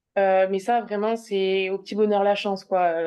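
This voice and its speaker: The intonation is monotone and flat. The speaker has a southwestern French accent. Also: woman. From southwest France. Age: 20s. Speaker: speech therapist. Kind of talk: personal testimony interview. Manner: halting.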